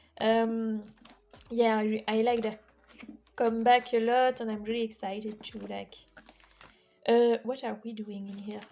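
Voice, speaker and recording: Over noticeable background noise, a woman with a fairly high pitch talks at a moderate pace in a monotone, flat way, with long, frequent pauses and big swings in loudness. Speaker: K-pop photocard collector vlogger. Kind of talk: casual chat. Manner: hesitant, many fillers.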